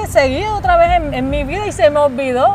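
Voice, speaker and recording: Through noticeable background noise, a woman speaks at a moderate pace in a high pitch. Her tone is animated, with lively intonation. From Colombia, Cartagena. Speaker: singer giving testimony. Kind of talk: testimony.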